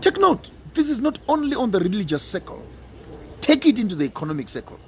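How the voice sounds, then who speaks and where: A man's high voice at a very fast pace, animated in tone, with very wide pitch swings and noticeable background noise. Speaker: pan-African speaker. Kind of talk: radio talk, impassioned monologue. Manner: animated, emphatic.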